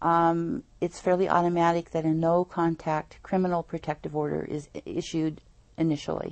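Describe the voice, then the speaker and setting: With an unremarkable speaking voice, a woman talks at a moderate pace with a fairly low pitch and fairly even intonation. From Northern California (Eureka). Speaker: nonprofit founder, domestic violence advocate. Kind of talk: interview on a local TV program.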